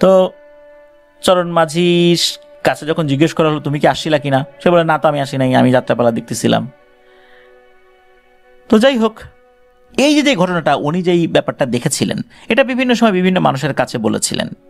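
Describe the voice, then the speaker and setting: A man's fairly high pitch with very wide pitch swings, music in the background. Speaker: radio horror story host. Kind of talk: horror radio storytelling of listener email stories.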